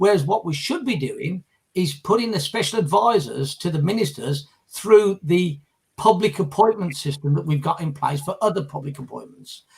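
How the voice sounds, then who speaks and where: Speaking in a British accent, a man with a high voice talks at a moderate pace with lively intonation. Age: 60s. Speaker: former political candidate and leadership campaigner. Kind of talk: casual discussion on a live group video chat. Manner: hesitant, with frequent fillers and repetitions.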